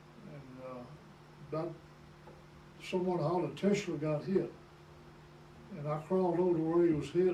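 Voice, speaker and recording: Over noticeable background noise and audible room echo, a man with a high pitch talks at a moderate pace with fairly even intonation. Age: 80s+. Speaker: war veteran. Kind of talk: oral history interview. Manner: halting.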